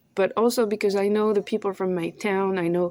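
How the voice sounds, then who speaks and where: A woman speaks with a French accent. Her intonation is fairly even. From France. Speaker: vlogger; thrift shop owner. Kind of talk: casual monologue vlog. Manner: halting, searching for words.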